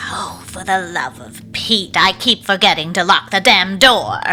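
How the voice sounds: A man's put-on character voice, high-pitched and bright with a sharp edge, at a fairly slow pace over faint background music. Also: lively intonation.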